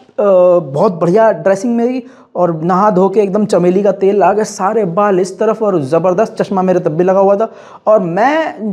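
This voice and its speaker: Over noticeable background noise, the voice moves at a moderate pace. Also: man. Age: 20s. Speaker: YouTuber. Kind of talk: personal storytelling monologue. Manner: animated.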